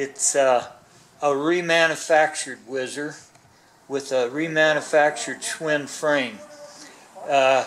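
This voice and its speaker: Someone with an American accent speaks at a fairly slow pace, with audible room echo and noticeable background noise. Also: man. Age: 70s. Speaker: motorcycle collector and mechanic. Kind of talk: casual interview. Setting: garage.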